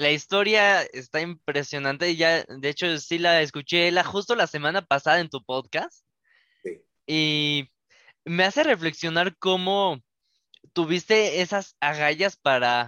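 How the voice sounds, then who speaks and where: The man talks fairly slowly in a high-pitched voice. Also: ordinary pitch variation. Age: young. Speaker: podcast host. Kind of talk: casual interview.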